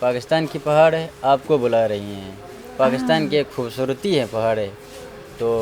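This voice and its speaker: A man's medium-pitched voice with ordinary pitch variation amid noticeable background noise. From Gilgit, Pakistan. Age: young. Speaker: tourism worker. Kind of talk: interview answer.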